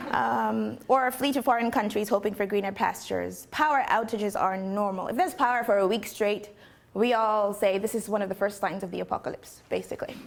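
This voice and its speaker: A woman's medium-pitched voice with vocal fry, at a fairly quick pace. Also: ordinary pitch variation. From Nigeria. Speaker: poet and musician. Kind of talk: talk to an audience.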